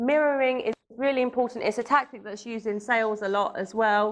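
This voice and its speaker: The speaker has a London accent and ordinary pitch variation. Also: woman. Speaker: matchmaker and dating coach. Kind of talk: seminar talk.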